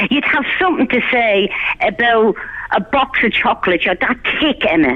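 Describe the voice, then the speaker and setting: A woman with a Dublin accent speaks at a moderate pace. Her fairly high pitch moves in very wide swings. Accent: Irish (Dublin). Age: 60s. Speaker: caller. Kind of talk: heated rant on a phone-in. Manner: loud; animated.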